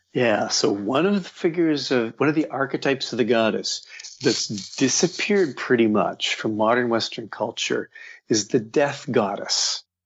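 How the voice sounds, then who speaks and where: A man's normal speaking voice at medium pitch, with lively intonation, a moderate pace and very even loudness. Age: 60s. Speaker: author. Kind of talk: interview.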